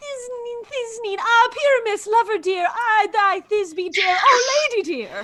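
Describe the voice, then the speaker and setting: Squeaky and theatrical, this put-on character voice moves at a fairly slow pace with hardly any pauses. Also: woman, extremely high pitch for a woman. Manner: affected, theatrical.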